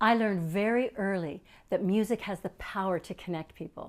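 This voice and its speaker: Here a woman with a Canadian accent uses an unremarkable speaking voice at a medium pitch, with ordinary pitch variation. She keeps a moderate pace on a very clean recording with a silent background. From Canada, Edmonton. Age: 60s. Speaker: performer. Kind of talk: stage monologue.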